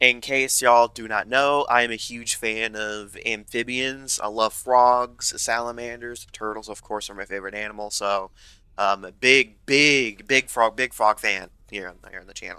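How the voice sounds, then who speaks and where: Bright, sharp tone with fairly even intonation on a very clean recording against a silent background. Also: man, medium pitch for a man, moderate pace, big swings in loudness. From US South. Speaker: gaming YouTuber. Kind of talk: gameplay commentary. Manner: casual, many fillers and restarts.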